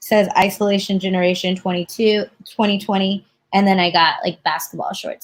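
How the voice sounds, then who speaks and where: A woman speaks at a fairly quick pace in a medium pitch, somewhat breathy, with a monotone, flat intonation, in a very clean recording over a silent background. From Texas. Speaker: guest, sneaker fan and former dancer. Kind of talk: casual live stream chat.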